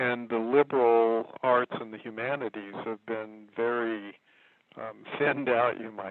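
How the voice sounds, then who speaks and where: In an ordinary speaking voice, a man with an American accent talks at a fairly slow pace and medium pitch. His intonation is fairly even, while his loudness swings widely. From Kentucky, later Texas. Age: 60s. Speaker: herbalist and writer. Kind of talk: interview.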